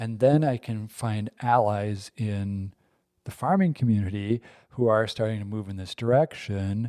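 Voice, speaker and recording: A dark, mellow voice with an Upper Midwest accent, a fairly slow pace and big swings in loudness, on a very clean recording with a silent background. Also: man, fairly low pitch for a man, ordinary pitch variation. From Wisconsin. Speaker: podcast host. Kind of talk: casual chat.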